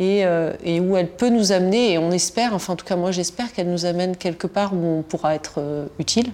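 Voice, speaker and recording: Speaking at a fairly quick pace, a woman has a medium pitch and a dark, mellow tone. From Tunisia. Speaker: historian. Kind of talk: interview. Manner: halting, many repetitions and fillers.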